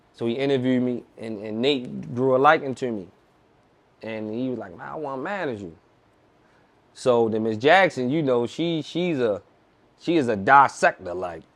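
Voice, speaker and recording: A man with a Baltimore accent talks at a moderate pace and medium pitch, with lively intonation. He pauses long and often, and his loudness swings widely. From Baltimore, US (east side). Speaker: rapper. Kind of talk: casual interview chat.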